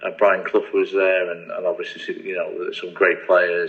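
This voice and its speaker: With an English accent, a man talks at a moderate pace against noticeable background noise. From England, Nottingham (East Midlands). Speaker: football coach. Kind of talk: podcast interview. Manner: hesitant, many fillers and repetitions.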